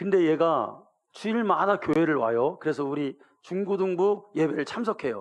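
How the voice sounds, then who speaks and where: With a Gyeongsang accent, a man speaks at a moderate pace in a high pitch with lively intonation. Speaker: pastor. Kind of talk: sermon. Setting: church.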